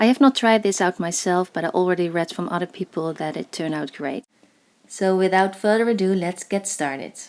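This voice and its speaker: Moderately paced speech with a Dutch accent and ordinary pitch variation, on a very clean recording with a silent background. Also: woman. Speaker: crafts tutorial creator. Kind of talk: tutorial voice-over. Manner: hesitant, with fillers.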